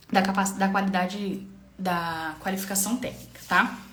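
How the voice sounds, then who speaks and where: A woman's voice carries audible room echo. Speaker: public procurement trainer. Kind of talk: live-stream tutorial. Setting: live stream. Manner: fast; halting with fillers.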